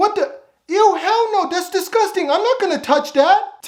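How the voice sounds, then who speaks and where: Pitched extremely high, this is a put-on character voice. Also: moderate pace. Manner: disgusted.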